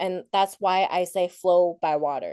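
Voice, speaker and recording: A woman with a Thai accent, dark and mellow in tone, at a fairly slow pace with fairly even intonation, in a dry, close sound with no echo. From Thailand, raised in Portland, Oregon. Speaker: keynote speaker, para athlete. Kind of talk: keynote talk.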